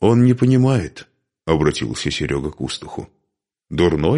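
Lively intonation shapes plain reading aloud. Behind it, the background is quiet.

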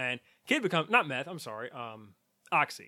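A man speaks at a fairly high pitch in an unremarkable speaking voice. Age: 40s. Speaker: podcast co-host. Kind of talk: casual chat.

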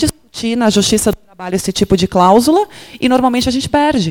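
A woman with a fairly high pitch and ordinary pitch variation talks at a very fast pace. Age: 30s. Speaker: labor lawyer and professor. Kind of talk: panel discussion. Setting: stage with audience.

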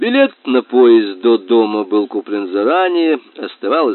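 Someone reads aloud in a plain way.

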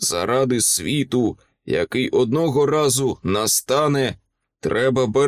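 Pitch varies in an ordinary way within a natural reading voice. Nothing much stirs behind it, leaving a quiet background.

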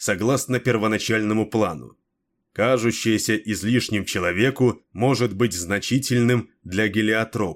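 In a natural reading voice with fairly even intonation, the speaker is heard against a quiet background.

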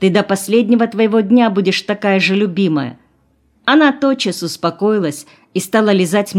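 Aloud reading, plain in manner

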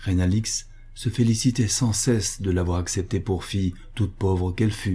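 It is read in an unforced reading voice.

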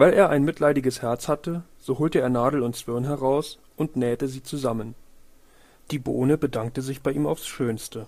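A man's slightly mellow voice at a medium pitch and a fairly slow pace. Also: ordinary pitch variation.

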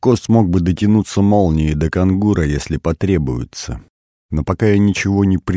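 The speaker uses a natural reading voice with ordinary pitch variation. The background is quiet.

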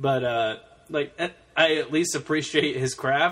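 A man's fairly high-pitched, fairly slow delivery in a normal speaking voice. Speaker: podcast host. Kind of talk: casual chat.

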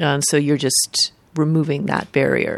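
In a very clean recording with a silent background, a woman speaks with a very deep, low pitch and vocal fry. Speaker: podcast co-host. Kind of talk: casual interview.

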